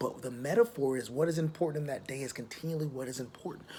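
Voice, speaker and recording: This man talks at a fairly quick pace. Noticeable background noise can be heard. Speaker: high school teacher. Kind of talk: recorded lesson. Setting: outdoors, back patio. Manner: casual, conversational.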